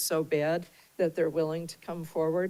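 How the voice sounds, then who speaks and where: A woman talks in a fairly low pitch. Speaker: board chair. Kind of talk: public meeting discussion. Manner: slow; hesitant, many fillers.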